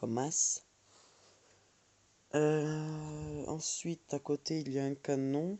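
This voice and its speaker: The speech is very slow and monotone, with flat intonation and long, frequent pauses. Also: man, fairly high pitch for a man. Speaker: gaming youtuber. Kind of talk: gameplay tutorial. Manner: hesitant, many fillers.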